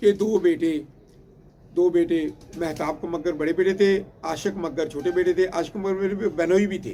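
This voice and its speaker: A man talks in a high voice. He leaves long, frequent pauses. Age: 60s. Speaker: pigeon breeder. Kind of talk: storytelling. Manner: halting, many fillers and repetitions.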